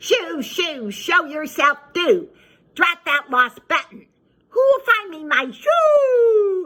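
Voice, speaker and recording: In a put-on character voice, a woman speaks at a very slow pace with an extremely high pitch and very wide pitch swings. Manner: calling out, fussing.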